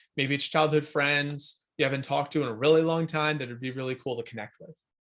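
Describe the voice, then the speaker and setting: The recording is very clean and the background silent. A man speaks at a fairly quick pace. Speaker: life coach. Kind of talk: recorded coaching workshop. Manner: fast; casual with many fillers.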